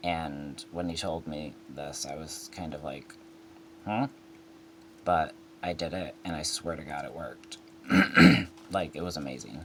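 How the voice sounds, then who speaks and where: Speaking at a fairly slow pace with long, frequent pauses, a man has a very deep, low voice with ordinary pitch variation. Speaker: person in recovery from opioid addiction. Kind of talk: casual talk to camera. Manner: hesitant, with fillers.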